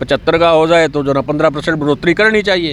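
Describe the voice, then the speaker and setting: This man has an unremarkable speaking voice, pitched fairly high. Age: 60s. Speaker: retired employees' union member. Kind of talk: street interview at protest.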